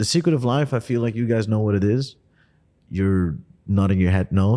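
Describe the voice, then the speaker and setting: A man's dark, mellow voice at a very fast pace with ordinary pitch variation. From Netherlands. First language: Dutch. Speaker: podcast host. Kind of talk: casual interview chat. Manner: hesitant with fillers.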